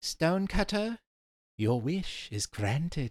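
A put-on character voice at a middle pitch, with very wide pitch swings and a fairly slow pace. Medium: read story. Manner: gleeful, mischievous.

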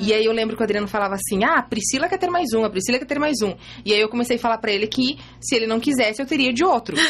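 A woman's fairly high voice at a very fast pace, with noticeable background noise. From Santa Catarina, Brazil (Ipumirim). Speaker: image consultant and mother of five. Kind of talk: casual interview, personal testimony. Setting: radio studio.

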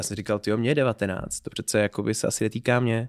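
A man with an ordinary speaking voice, medium pitch and ordinary pitch variation talks at a fairly quick pace, the sound dry and close with no echo in a very clean recording with a silent background. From Czechia, Pardubice. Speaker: startup founder and lecturer. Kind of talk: interview.

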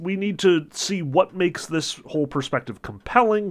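A high-pitched man's voice, animated in tone, at a moderate pace. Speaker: literature lecturer. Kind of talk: lecture. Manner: casual, many filler words; opinionated, animated.

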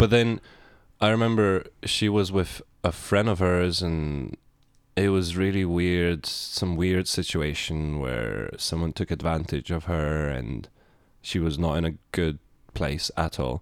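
A man with a Lithuanian accent speaks at a fairly slow pace in a very deep, low voice with ordinary pitch variation. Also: very clean recording, silent background. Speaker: podcast co-host. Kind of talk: casual chat.

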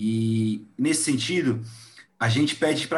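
Somewhat breathy and at a medium pitch, a man speaks with lively intonation. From Brazil. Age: 30s. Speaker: podcast host. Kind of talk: casual interview chat.

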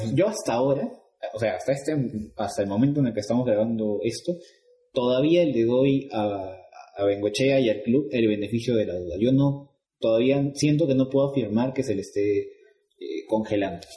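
A man with a medium-pitched, somewhat breathy voice speaks at a moderate pace with ordinary pitch variation. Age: 20s. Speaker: football podcast host. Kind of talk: casual chat.

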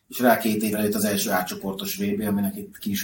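A man's voice with fairly even intonation. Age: 40s. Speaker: hockey puck collector. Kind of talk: casual interview. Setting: at his home. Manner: halting, repeats words.

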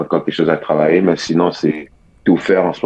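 In a Quebec accent, a man speaks at a fairly quick pace. His very deep, low voice has monotone, flat intonation. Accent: Québécois French. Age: young. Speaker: college basketball player. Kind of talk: radio interview. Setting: phone call.

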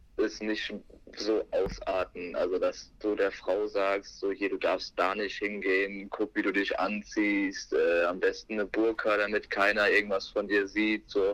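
A man talks at a very slow pace, keeping his loudness very even. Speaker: podcast guest, friend of host. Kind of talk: casual chat. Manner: hesitant, many filler sounds. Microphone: telephone line.

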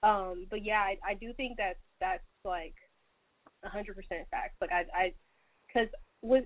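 A woman speaks at a moderate pace in a fairly high pitch. Her pitch varies in an ordinary way. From Atlanta, Georgia. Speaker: podcast host. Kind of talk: casual chat.

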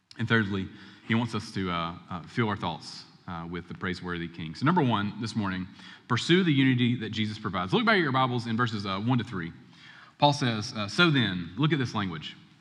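A man with a fairly low pitch speaks at a fairly quick pace with lively intonation. Room echo is audible. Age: 30s. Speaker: pastor. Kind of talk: sermon. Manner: conversational.

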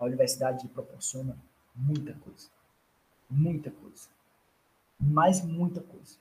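Speaking at a fairly slow pace with long, frequent pauses, the voice is somewhat breathy, with fairly even intonation and big swings in loudness. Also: man, fairly high pitch for a man. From Brazilian Northeast, Ceará (Fortaleza). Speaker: doctoral student in food engineering. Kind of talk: interview, casual chat.

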